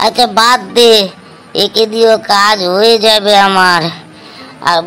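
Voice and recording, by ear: A cartoonish character voice is pitched fairly high and delivered at a fairly slow pace. Clear background noise can be heard.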